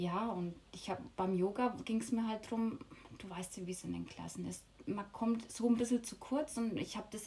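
Fairly high in pitch, a woman's voice keeps a fairly even intonation. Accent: Franconian. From Lower Franconia, Bavaria. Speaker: yoga teacher. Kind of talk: casual interview.

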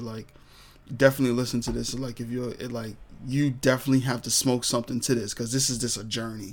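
Very fast, flat monotone from a man with a medium pitch and a New York accent. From New York, Brooklyn. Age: 20s. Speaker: podcast host. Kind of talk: casual monologue. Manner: filler-heavy, repetitive.

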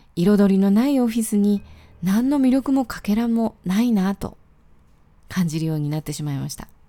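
Relaxed and dark, mellow in tone, a woman speaks at a moderate pace and medium pitch with lively intonation. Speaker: podcaster. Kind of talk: solo daily podcast monologue. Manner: relaxed, with frequent fillers.

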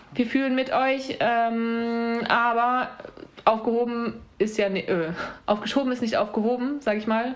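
Speaking fairly slowly, a woman uses an ordinary speaking voice with fairly high pitch. Her intonation stays fairly even. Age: 30s. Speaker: podcast host. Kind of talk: casual chat.

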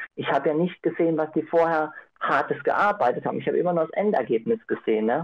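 A man's high-pitched voice at a very fast pace, with lively intonation. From Austria, Innsbruck (Tyrol). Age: 30s. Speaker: participant. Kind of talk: group discussion. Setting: video call.

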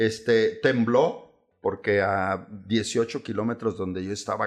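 Very slow delivery from a man in a quiet setting. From Chihuahua, northern Mexico. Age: 60s. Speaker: lawyer specializing in bank foreclosures. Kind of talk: casual interview.

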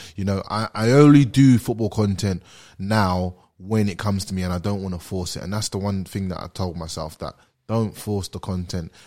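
On a very clean recording with a silent background, a man with a fairly low pitch speaks at a moderate pace in a dark, mellow tone with ordinary pitch variation. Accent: British. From London, England. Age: 20s. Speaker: former pro footballer and social media creator. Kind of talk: casual chat. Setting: studio.

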